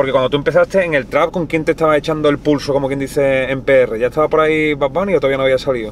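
Fairly even intonation at a very fast pace comes through a dry sound with no echo and light background noise. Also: man, fairly high pitch for a man. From Spain. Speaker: YouTube interviewer. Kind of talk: casual interview. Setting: in a car. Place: car.

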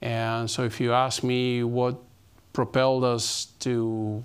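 A man speaking in a monotone, flat way. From Argentina. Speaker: company CEO; guest lecturer. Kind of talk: interview. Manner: halting. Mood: calm, thoughtful. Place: stage. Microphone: lapel.

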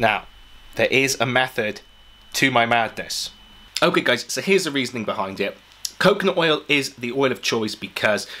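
At a moderate pace, a man talks with long, frequent pauses. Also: lively intonation. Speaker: fitness vlogger. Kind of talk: casual vlog chat. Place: home room.

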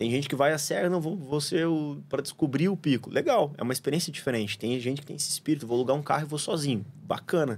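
A man's fairly high voice at a very fast pace, with hardly any pauses. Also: ordinary pitch variation. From Paraná, Brazil (São José dos Pinhais); Paraná, Brazil. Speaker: surfer, traveller guest; podcast guest. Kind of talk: casual chat; casual interview conversation. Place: studio. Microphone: studio mic.

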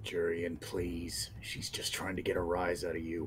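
In a put-on character voice, a man speaks soft-spoken and raspy at a very deep, low pitch and a moderate pace, with clear background noise. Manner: soothing, gentle.

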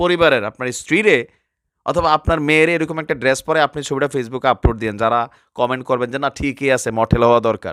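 A very clean recording over a silent background, with ordinary variation in pitch. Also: man, medium pitch for a man. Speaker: social media commentator. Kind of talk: opinion rant to camera. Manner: animated.

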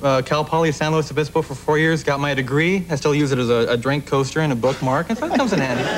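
Speech races along at a very fast pace with hardly any pauses, ordinary pitch variation and light background noise. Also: man. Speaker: talk show guest. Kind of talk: interview answer. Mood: deadpan joking. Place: studio.

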